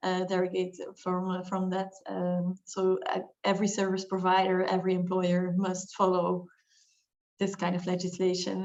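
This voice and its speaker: With a Flemish accent, a woman speaks at a moderate pace in a medium-pitched voice. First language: Dutch. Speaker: lawyer. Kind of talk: webinar discussion.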